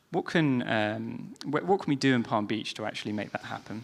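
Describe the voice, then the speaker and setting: A man's medium-pitched voice in a British accent, at a fairly quick pace with ordinary pitch variation. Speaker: panel moderator. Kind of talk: panel discussion. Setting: stage with audience.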